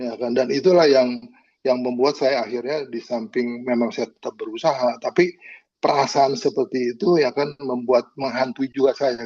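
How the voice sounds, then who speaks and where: In a dry, close sound with no echo, a man talks at a moderate pace and medium pitch, his tone dark and mellow with ordinary pitch variation. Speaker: caregiver of a family member. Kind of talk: personal testimony in a panel discussion. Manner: halting, many filler words.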